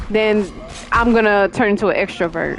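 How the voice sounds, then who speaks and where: With music in the background, a woman speaks quietly at medium pitch. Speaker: gaming streamer. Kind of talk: live gameplay commentary. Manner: halting, fumbles over words.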